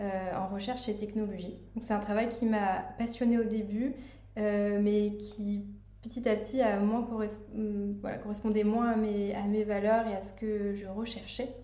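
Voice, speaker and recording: Amid noticeable background noise and audible room echo, a woman speaks at a fairly slow pace with a fairly high pitch and monotone, flat intonation. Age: 30s. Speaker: life coach, former aeronautics engineer. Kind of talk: casual interview chat.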